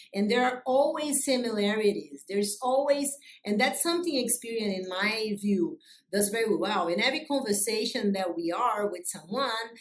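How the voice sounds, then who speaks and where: Over noticeable background noise, a woman with a Brazilian accent speaks at a moderate pace. Her fairly high voice carries lively intonation. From Brazil, Rio de Janeiro. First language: Portuguese. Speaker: business executive. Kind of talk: interview. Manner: loud; energetic.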